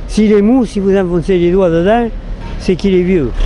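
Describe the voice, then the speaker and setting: A man talks at a moderate pace in a high pitch. The sound is dry with no echo, with light background noise. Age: 80s+. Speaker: elderly market gleaner. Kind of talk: casual chat. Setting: outdoors. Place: street. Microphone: phone near.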